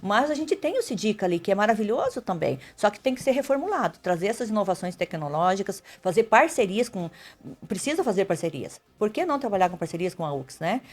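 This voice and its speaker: A woman's medium-pitched voice at a fairly quick pace with very wide pitch swings. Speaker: mayoral candidate, nurse. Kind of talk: radio interview. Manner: fast.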